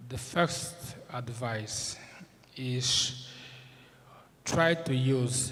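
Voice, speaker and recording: There is audible room echo on this man's medium-pitched voice. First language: Portuguese. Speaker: moot court judge. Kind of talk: formal speech. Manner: halting, many fillers.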